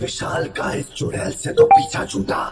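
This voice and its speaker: A man in a cartoonish character voice at a fairly slow pace, with faint music in the background and a clear echo. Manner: casual, chatty.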